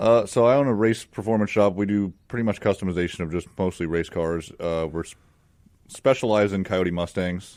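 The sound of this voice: A man speaks low in pitch with an American accent. His tone is slightly mellow and his intonation fairly even. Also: moderate pace, very clean recording, silent background.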